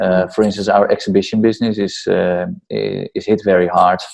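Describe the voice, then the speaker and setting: A man with a Dutch accent at a moderate pace. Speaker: entrepreneur and startup mentor. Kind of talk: interview.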